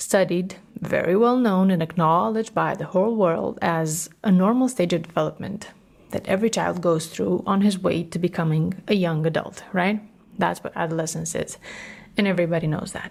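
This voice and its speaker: A woman with a Romanian accent speaks at a moderate pace in a warm tone and a fairly low pitch. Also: ordinary pitch variation. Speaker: podcast host, matrescence educator. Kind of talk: solo podcast talk. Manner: warm, conversational.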